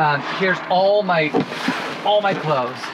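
Noticeable background noise sits behind this man's voice. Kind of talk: casual vlog chat. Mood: cheerful, joking. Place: garage. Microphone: camera far.

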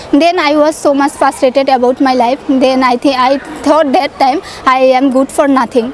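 A woman's high-pitched voice with a Bangladeshi accent, fairly even intonation and a moderate pace, dry with no echo, over light background noise. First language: Bengali. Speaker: student sharing English learning success story. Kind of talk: testimonial. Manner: halting, hesitant with fillers. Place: open country. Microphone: lapel.

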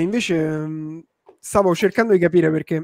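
Against a quiet background, a man speaks in a high voice with a dry sound and no echo. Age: 30s. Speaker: online entrepreneur and live-stream host; livestream host. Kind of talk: live-stream chat with viewers; casual livestream chat. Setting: live stream. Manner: animated. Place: home room. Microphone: studio mic.

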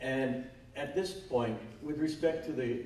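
A man at a fairly slow pace with ordinary pitch variation, audible room echo and light background noise. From Hawaii. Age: old. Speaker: retired judge and former politician; panelist. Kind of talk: panel discussion. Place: hall. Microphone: camera far.

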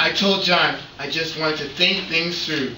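Audible room echo surrounds the speech, with light background noise. The pace is fairly slow. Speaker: church drama reader playing a disciple. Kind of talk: dramatic scripted reading in a church service. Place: church. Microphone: camera far.

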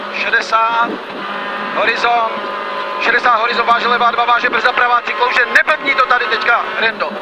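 The speaker keeps a moderate pace over loud background noise. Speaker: rally co-driver. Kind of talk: rally co-driver pace notes read aloud in the car. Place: car. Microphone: headset.

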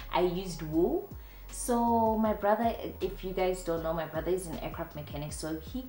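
A woman with a South African accent at a fairly quick pace, with audible room echo and light background noise. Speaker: DIY home decor YouTuber. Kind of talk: casual talk to camera. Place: home room.

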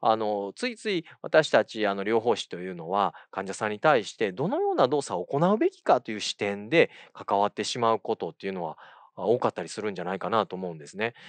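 A man with a fairly low pitch talks at a fairly quick pace with ordinary pitch variation, the sound dry with no echo. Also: big swings in loudness, quiet background. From Kyoto, Japan; Japan. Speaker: occupational therapist and university lecturer; occupational therapy lecturer. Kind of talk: lecture. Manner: halting, many fillers; polite formal speech. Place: studio. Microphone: lapel.

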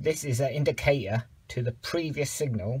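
At a moderate pace, a man talks in a somewhat breathy voice, his pitch varying in an ordinary way. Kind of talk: tutorial. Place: garage. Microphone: phone near.

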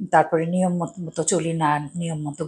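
A somewhat breathy voice against a quiet background. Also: woman. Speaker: home cook host. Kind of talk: cooking show talk. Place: home room. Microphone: lapel.

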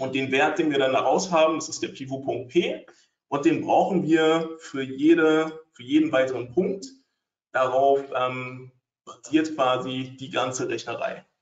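A man's fairly high voice, an unremarkable speaking voice, at a fairly slow pace, with fairly even intonation and big swings in loudness. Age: 30s. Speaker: trading educator. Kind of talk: webinar presentation. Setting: online webinar with screen sharing.

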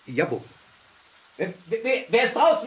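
Using a put-on character voice, a man talks at an extremely high pitch with big pitch swings and a fairly slow pace, with audible room echo.

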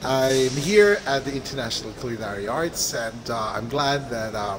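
Noticeable background noise sits behind a man whose pitch moves in a normal way. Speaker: video blog host. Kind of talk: casual vlog intro. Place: hall. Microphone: phone near.

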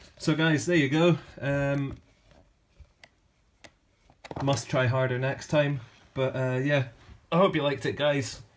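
A fairly slow pace with long, frequent pauses over light background noise. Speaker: book collector vlogger. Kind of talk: casual vlog chat. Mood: enthusiastic, slightly apologetic. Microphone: phone near.

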